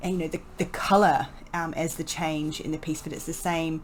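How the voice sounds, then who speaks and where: A woman speaks at a moderate pace with a very deep, low pitch. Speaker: painting tutor. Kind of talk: voice-over painting tutorial. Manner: casual, hesitant.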